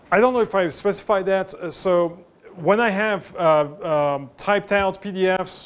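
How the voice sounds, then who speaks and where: A man with a French accent and ordinary pitch variation. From France. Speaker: professor. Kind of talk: lecture. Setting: lecture room with students, no mic. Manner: halting, many fillers; loud, raised voice to reach the back.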